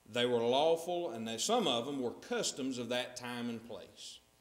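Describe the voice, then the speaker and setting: At a moderate pace, a man talks with a North Carolina accent and ordinary pitch variation. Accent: Southern US (North Carolina). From US South. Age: 30s. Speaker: preacher. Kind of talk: sermon. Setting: church. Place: church.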